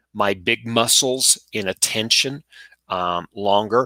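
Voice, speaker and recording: A man speaks very slowly at a fairly low pitch, his tone bright and sharp. The sound is dry and close with no echo, and the recording is very clean with a silent background. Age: 50s. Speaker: project management lecturer and consultant. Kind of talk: casual interview chat. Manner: halting, with many fillers.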